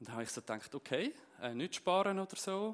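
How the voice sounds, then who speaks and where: In a Zurich accent, a man speaks at a moderate pace in a high, bright, sharp voice whose pitch swings very widely. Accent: Zurich Swiss German dialect. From Zurich Unterland, Switzerland. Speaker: preacher. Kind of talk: sermon.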